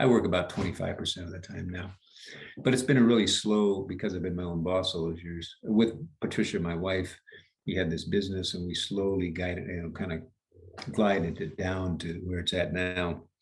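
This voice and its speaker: A somewhat breathy man's voice, very deep and low, at a fairly quick pace with an American accent. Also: fairly even intonation. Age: 70s. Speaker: leadership coach. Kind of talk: interview. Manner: halting.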